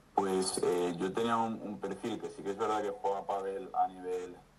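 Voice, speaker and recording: Fairly low pitch from a man speaking at a fairly slow pace with fairly even intonation, amid noticeable background noise. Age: 20s. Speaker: amateur tennis player, client. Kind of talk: interview testimony. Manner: hesitant, many repetitions.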